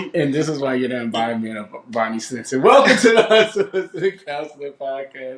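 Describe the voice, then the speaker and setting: A fairly high-pitched man talks at a fairly quick pace in an American accent, his pitch swinging very widely and his loudness rising and falling a lot. Noticeable background noise runs under his voice. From Virginia, Richmond area, mixed Philly/Southern family. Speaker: podcast co-host. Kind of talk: casual chat. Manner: animated.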